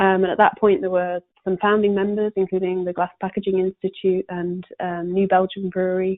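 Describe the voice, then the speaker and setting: In a British accent, a woman speaks at a medium pitch. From UK. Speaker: corporate sustainability panelist. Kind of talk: webinar presentation. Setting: conference call. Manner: hesitant with many fillers.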